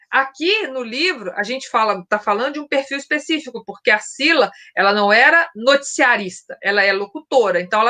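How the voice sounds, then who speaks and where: A woman projects her raised voice with a bright, sharp tone. Her intonation is lively. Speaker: book channel host, former radio and news journalist. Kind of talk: casual chat. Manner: fast.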